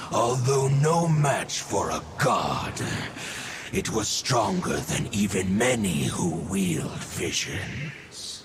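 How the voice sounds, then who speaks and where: A cartoonish character voice delivered at a very slow pace, with clear background noise behind it. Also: man, medium pitch for a man. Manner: solemn, archaic phrasing.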